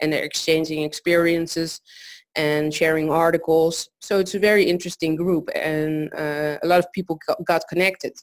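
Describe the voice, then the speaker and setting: At a moderate pace, a woman with a fairly low voice speaks in a very clean recording with a silent background. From South America. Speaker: founder of a women's networking event. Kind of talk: interview. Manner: halting, many fillers.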